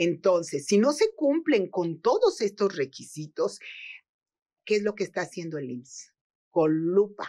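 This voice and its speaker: A woman speaks against a quiet background. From Mexico. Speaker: social security and labor law expert; guest. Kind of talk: interview. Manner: halting, with repetitions. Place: studio.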